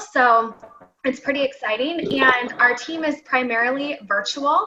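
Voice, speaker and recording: A high female voice at a medium tempo, its pitch rising and falling normally. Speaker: direct sales consultant and team trainer. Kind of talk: online training session.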